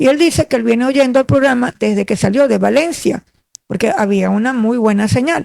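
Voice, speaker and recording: A woman with a high pitch and ordinary pitch variation speaks at a fairly quick pace. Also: dry, close sound with no echo. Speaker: former radio announcer, lawyer. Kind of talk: interview reminiscence. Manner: clear diction.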